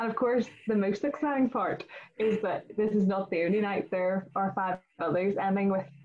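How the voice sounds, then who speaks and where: The pitch rises and falls in an ordinary way, with a Northern Irish accent. The pace is fairly quick. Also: woman. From Northern Ireland. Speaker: student committee chairperson and event host; event host. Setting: video call. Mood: warm, enthusiastic. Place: home room. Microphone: video call.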